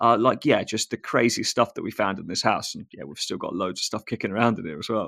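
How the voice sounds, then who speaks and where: Recorded very cleanly against a silent background, a man's bright, sharp voice has ordinary pitch variation and a dry, close sound with no echo. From England, Northamptonshire. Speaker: tradesman and social media creator, former pro BMX rider. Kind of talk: casual podcast chat. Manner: casual, many fillers.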